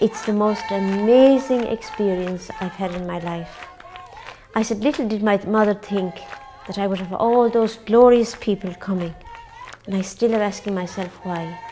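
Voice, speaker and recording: With an Irish accent, a woman talks at a moderate pace and medium pitch, her pitch varying in an ordinary way, while noticeable background noise can be heard. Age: 60s. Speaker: nun running a charity. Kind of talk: interview.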